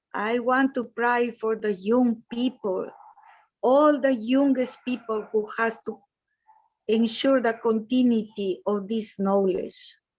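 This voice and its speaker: A woman's fairly high-pitched voice at a very slow pace. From Peru. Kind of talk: prayer.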